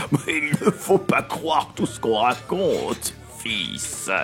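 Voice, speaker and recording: In a raspy, put-on character voice, a man speaks at a fairly slow pace while clear music plays in the background. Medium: read story. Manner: jovial, hearty.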